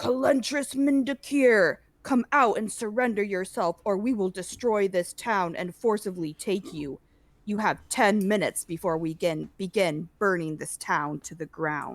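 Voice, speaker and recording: Putting on a booming character voice, a woman speaks loudly at medium pitch and a moderate pace on a very clean recording with a silent background. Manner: threatening, commanding.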